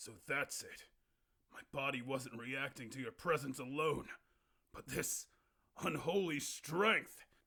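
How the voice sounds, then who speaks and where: A man puts on a raspy character voice at a fairly slow pace. He leaves long, frequent pauses. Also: fairly high pitch for a man. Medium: solo performance. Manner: formal, dignified.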